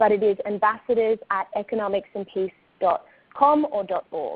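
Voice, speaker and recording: A woman with an Australian accent talks at a fairly high pitch with ordinary pitch variation. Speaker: communications staff member. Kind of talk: webinar presentation. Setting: online webinar.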